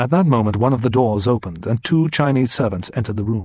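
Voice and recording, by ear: Someone reads aloud, and the voice sounds natural.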